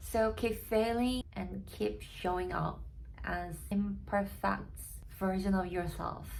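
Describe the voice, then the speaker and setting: Amid audible room echo, a woman with a Korean accent speaks at a very slow pace. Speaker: barista and vlogger. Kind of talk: personal story vlog. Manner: halting, with fillers.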